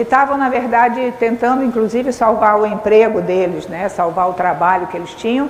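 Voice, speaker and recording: Speaking at a moderate pace with hardly any pauses, a woman with a fairly high pitch and ordinary pitch variation is heard over noticeable background noise and audible room echo. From Brazil, Rio de Janeiro. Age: 70s. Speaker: speaker, educator. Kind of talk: lecture. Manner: halting, with frequent fillers.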